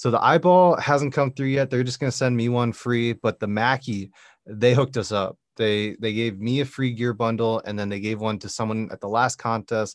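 The man has an ordinary speaking voice at medium pitch, with ordinary pitch variation. He talks at a moderate pace, and the sound is dry and close with no echo. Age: 20s. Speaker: music podcast host. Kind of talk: casual chat. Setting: video call.

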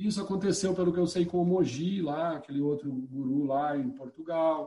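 Fairly high male pitch, ordinary pitch variation and a dark, mellow tone from a man. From São Paulo state interior, Piracicaba. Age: 50s. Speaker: poet and eco-activist. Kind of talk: casual interview.

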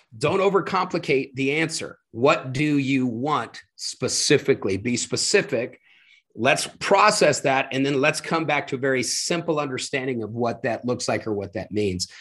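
A man's ordinary speaking voice, fairly high in pitch, with lively intonation and a moderate pace against a quiet background. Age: 50s. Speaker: motivational speaker and leadership coach. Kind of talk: interview.

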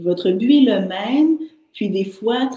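This woman has a normal speaking voice, fairly high in pitch. She moves at a moderate pace with lively intonation. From Haitian heritage, French Canada. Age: 40s. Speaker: artist and entrepreneur. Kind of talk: interview.

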